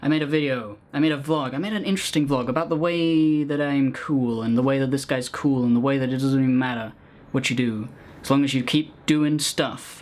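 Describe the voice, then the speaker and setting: Fairly even intonation in a man's fairly high-pitched speech. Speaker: gaming video creator. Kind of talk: casual vlog. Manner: fast.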